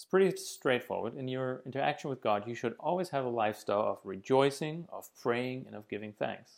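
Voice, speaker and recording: An ordinary speaking voice belongs to a man talking at medium pitch and a fairly quick pace, with ordinary pitch variation and big swings in loudness. The recording is very clean, with a silent background. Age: 30s. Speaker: missionary preacher. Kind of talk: sermon. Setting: video from home living room.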